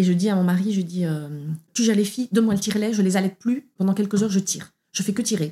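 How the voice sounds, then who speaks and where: At a very fast pace, this somewhat breathy voice has a dark, mellow tone, fairly even intonation and very even loudness. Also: woman, medium pitch for a woman. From Belgium. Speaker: opera singer. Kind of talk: testimony. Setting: at the host's home.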